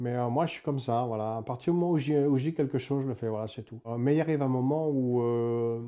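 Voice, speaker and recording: A man's dark, mellow voice at medium pitch, fairly quick with hardly any pauses, fairly even in intonation but with big swings in loudness. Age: 60s. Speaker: former prisoner. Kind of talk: testimony. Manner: hesitant, many fillers.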